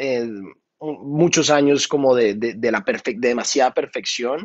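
The speaker is a man with fairly even intonation. The background is quiet. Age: 30s. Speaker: singer and music producer; guest. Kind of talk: interview. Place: studio. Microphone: video call.

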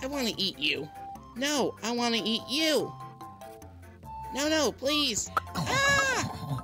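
A cartoonish character voice at a very slow pace, with clear music in the background

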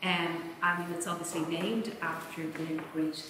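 Over light background noise and audible room echo, a woman speaks at a fairly slow pace. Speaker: event chair introducing lecturer. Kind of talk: formal introduction speech. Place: hall. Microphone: podium.

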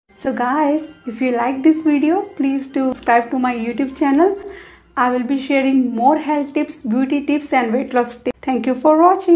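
Faint music plays in the background while a woman talks at a moderate pace. Her pitch is high, with ordinary variation. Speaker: health tips creator. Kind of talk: casual tips explainer. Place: home room. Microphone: lapel.

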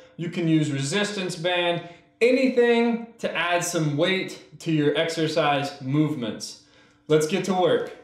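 The intonation is lively and the pace fairly slow. Room echo is audible. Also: man. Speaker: fitness instructor. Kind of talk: workout tutorial. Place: empty room.

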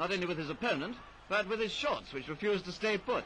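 Raising and projecting his high voice, a man speaks at a very fast pace with ordinary pitch variation over light background noise. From England. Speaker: newsreel commentator. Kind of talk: sports newsreel commentary. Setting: vintage film soundtrack. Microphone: old recording.

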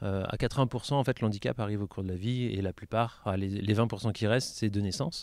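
At a moderate pace, a man with a normal speaking voice talks in a fairly low pitch with fairly even intonation, on a very clean recording with a silent background. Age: 30s. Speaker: para-badminton athlete. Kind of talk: interview.

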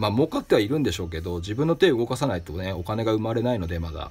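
Somewhat breathy, this man's medium-pitched voice makes very wide pitch swings. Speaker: craftsman and shop owner, podcast host. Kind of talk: solo advice talk answering listener mail.

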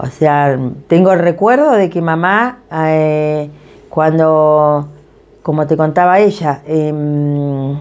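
In an Argentine accent, a woman speaks very slowly in a very deep, low pitch with ordinary pitch variation. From Patagonia, Argentina (Esquel and Tecka); Patagonia, Argentina. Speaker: community association president. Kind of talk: interview testimony. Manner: hesitant, many fillers. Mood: warm, reflective. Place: kitchen.

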